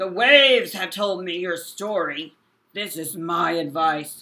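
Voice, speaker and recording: In a put-on character voice at a middle pitch, the speaker moves at a fairly slow pace. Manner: wise, solemn.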